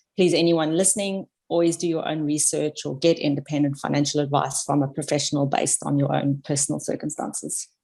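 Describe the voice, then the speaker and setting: A woman with a South African accent at a fairly quick pace. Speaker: podcast guest, amateur investor. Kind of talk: casual chat.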